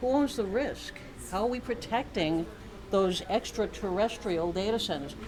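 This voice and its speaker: Against noticeable background noise and audible room echo, a woman with an American accent talks at a moderate pace with lively intonation. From Boston. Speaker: keynote speaker, cybersecurity academic. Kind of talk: conference keynote. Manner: animated.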